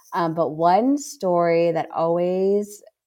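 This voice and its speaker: A woman's fairly low voice, a normal speaking voice, with fairly even intonation. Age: 30s. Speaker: social media marketing strategist. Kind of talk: casual interview chat.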